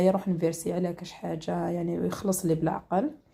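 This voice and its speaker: This woman's tone is dark and mellow, with fairly even intonation. She speaks at a fairly quick pace. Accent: Algerian. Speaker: home cooking and lifestyle vlogger. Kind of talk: casual vlog.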